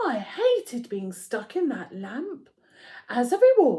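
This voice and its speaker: Using a put-on character voice, a woman talks at a fairly slow pace with a high pitch. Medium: read story.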